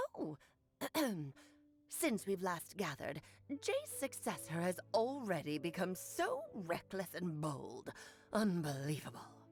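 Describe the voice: A woman uses a put-on character voice, fairly low in pitch and fairly slow. She leaves long, frequent pauses.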